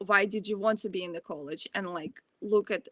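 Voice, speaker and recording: In a Ukrainian accent, a woman speaks with ordinary pitch variation, the sound dry and close with no echo. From Ukraine. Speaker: college student. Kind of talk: Q&A answer at online presentation.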